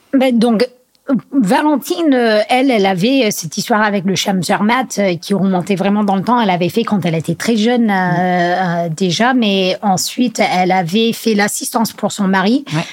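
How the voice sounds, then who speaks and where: Noticeable background noise accompanies this woman as she talks with lively intonation. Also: medium pitch for a woman, moderate pace, very even loudness. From US Northeast (Vermont). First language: English (speaking French). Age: 30s. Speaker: trail and skyrunning athlete. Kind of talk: casual interview. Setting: at her home. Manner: halting, many hesitations.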